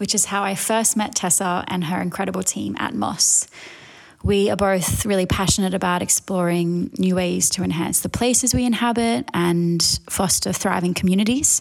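A woman with an Australian accent speaks with ordinary pitch variation. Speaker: design director. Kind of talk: recorded message.

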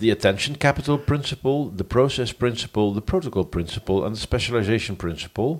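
A man uses a normal speaking voice at medium pitch, with lively intonation and a moderate pace. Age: 40s. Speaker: podcast host. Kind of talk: casual chat.

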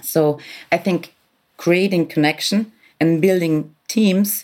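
Speaking at a very slow pace, a woman uses a fairly low pitch. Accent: German. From Austria, Vienna. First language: German. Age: 40s. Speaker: business executive. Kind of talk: interview. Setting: hotel room, remote recording.

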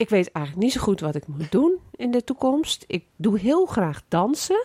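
A woman talks at a moderate pace. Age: 60s. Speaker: podcast host. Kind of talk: casual interview.

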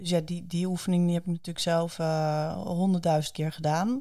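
Heard in a very clean recording with a silent background, a woman has a dark, mellow tone. Her pitch is fairly low, with ordinary pitch variation. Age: 40s. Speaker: speaker, coach and author. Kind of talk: interview. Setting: studio. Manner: enthusiastic.

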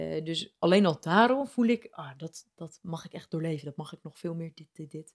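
A woman's fairly low voice, a normal speaking voice, at a moderate pace with lively intonation, big swings in loudness and hardly any pauses, in a dry, close sound with no echo. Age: young. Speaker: life coach. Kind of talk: casual interview. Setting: at her home.

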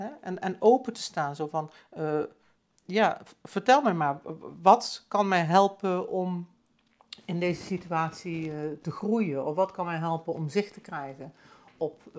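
A woman's fairly low voice at a very slow pace, with ordinary pitch variation, big swings in loudness and long, frequent pauses, in a very clean recording against a silent background. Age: 50s. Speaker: podcast host, spiritual coach. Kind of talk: personal reflective monologue. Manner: hesitant, many fillers and repetitions.

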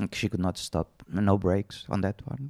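The speaker has a Portuguese accent, and the sound is dry and close with no echo. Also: man. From Portugal. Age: 50s. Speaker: horse rider and riding instructor. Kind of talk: interview. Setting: living room at home.

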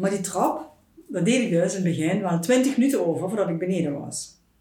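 A woman's medium-pitched voice with lively intonation at a fairly quick pace, plus audible room echo. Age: 50s. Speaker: food blogger. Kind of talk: personal testimony in interview. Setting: at her home.

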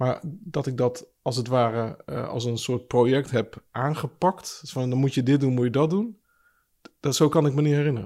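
The man's dark, mellow tone shows ordinary pitch variation. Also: medium pitch for a man, moderate pace. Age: 40s. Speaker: pastor. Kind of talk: casual chat. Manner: halting.

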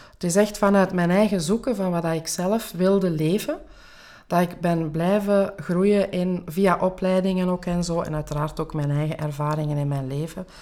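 This is a woman with a fairly low-pitched voice. Her tone is dark and mellow. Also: ordinary pitch variation, moderate pace. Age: 40s. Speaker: life coach and podcast host. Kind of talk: interview answering questions.

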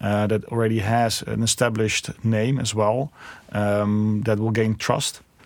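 This man has a Dutch accent and a medium pitch. He speaks at a fairly slow pace. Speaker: tech company founder and CEO. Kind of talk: interview. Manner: hesitant with many fillers.

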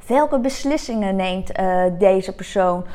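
Lively in intonation, a woman speaks at a very slow pace. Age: 40s. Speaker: podcast host, entrepreneur. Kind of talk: solo podcast monologue. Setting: her coworking space, video recording.

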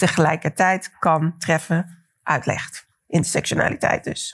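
The speaker uses a plain, everyday voice. The pace is fairly slow. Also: woman. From Netherlands, Delft. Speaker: cultural historian. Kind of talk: lecture.

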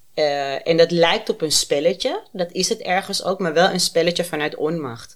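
A woman talks in a plain, everyday voice at a fairly low pitch with ordinary pitch variation. Her pace is moderate, with hardly any pauses. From Amsterdam. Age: 30s. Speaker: guest with lived experience of borderline. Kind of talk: personal testimony in casual interview.

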